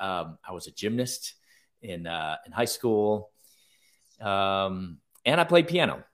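Speaking at a fairly slow pace with ordinary pitch variation, a man with a fairly low pitch and a plain, everyday voice is heard on a very clean recording with a silent background. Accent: American. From US Midwest, Chicago. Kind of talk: interview conversation.

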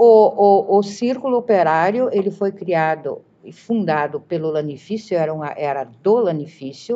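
Her pace is very slow. The woman's intonation stays lively throughout. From southern Brazil, Galópolis (Caxias do Sul). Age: 60s. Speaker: retired teacher. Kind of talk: interview reminiscence. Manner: halting, many repetitions.

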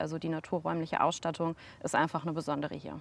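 A woman with an unremarkable speaking voice and fairly low pitch, talking at a fairly quick pace on a very clean recording with a silent background. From Sauerland, Germany. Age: 30s. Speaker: geopark director. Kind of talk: casual interview.

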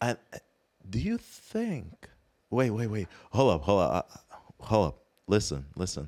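A man's fairly low voice with vocal fry and lively intonation, long, frequent pauses, and a dry, close sound with no echo. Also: fairly slow pace. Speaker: podcast co-host. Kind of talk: casual banter.

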